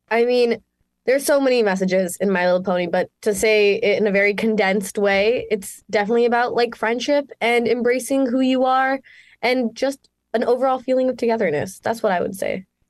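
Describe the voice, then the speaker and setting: A woman speaks with a Canadian accent in a fairly high pitch and at a fairly quick pace. She has a plain, everyday voice, with very even loudness and ordinary pitch variation. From Canada, Mississauga, Ontario. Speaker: actress. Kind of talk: interview. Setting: video call.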